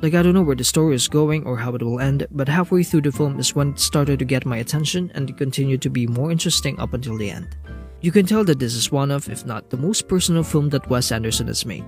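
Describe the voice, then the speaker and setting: A man with a non-native accent talks at a very fast pace, with hardly any pauses. His pitch varies in an ordinary way, and music plays in the background. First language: not English. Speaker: film reviewer. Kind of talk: casual film review talk.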